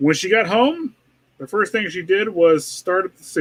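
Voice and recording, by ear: Someone is reading aloud in a natural voice, with lively intonation and a quiet background.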